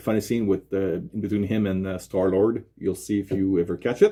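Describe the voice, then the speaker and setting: In a Quebec accent, a man speaks at a moderate pace with a fairly low pitch, a dark, mellow tone and flat, monotone intonation against a quiet background. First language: French. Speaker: YouTube unboxing presenter. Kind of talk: product unboxing presentation. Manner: halting, many fillers.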